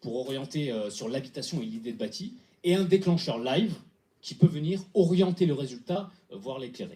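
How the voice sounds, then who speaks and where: Somewhat breathy and dark, mellow in tone, a man's voice moves through very wide pitch swings and big swings in loudness. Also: fairly high pitch for a man. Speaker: hackathon team presenter. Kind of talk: pitch presentation. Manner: fast; halting with fillers.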